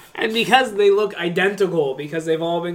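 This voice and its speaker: Noticeable background noise is present throughout. The talking moves at a moderate pace. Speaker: co-host. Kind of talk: casual chat.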